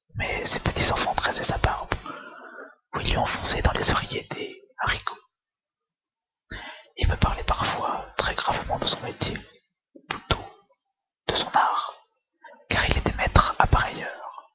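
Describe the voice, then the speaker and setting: A fairly slow pace broken by long, frequent pauses. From France. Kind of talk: whispered book reading for relaxation. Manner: whispered, soft, slow.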